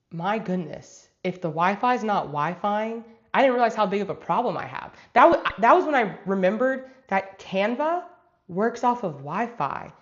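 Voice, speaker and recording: Her voice sits fairly high. This woman's pitch rises and falls over a very wide range. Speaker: travel vlogger. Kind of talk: live stream chat. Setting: home desk setup, live stream. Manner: fast.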